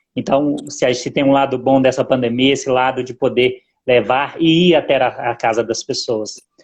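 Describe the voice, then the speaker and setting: At a moderate pace, a man speaks at medium pitch. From Zona da Mata, Minas Gerais, Brazil. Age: 40s. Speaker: business administrator and lay church minister. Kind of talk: interview. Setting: Instagram live stream. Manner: halting, with many fillers.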